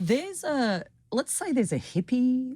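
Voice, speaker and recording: The woman has an Australian accent and a dark, mellow tone. She talks at a fairly slow pace with lively intonation. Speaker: philosophy professor. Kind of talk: academic interview. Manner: hesitant fillers.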